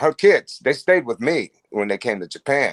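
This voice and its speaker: Recorded dry and close with no echo, a man speaks at a fairly high pitch with very wide pitch swings. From Ohio, US Midwest. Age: 60s. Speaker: musician. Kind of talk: casual interview chat. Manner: halting, repeats words.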